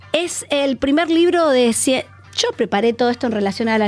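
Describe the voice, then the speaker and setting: Fairly quick female speech with noticeable background noise. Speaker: psychoanalyst. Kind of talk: radio interview.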